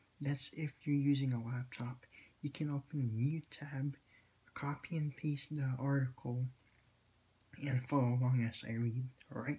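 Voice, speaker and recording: A man with a medium pitch and a dark, mellow, somewhat breathy tone speaks in a monotone, flat intonation at a moderate pace, leaving long, frequent pauses. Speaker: vlogger commenting on news. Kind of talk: casual vlog with article reading. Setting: home at night. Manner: halting, many fillers and repeats.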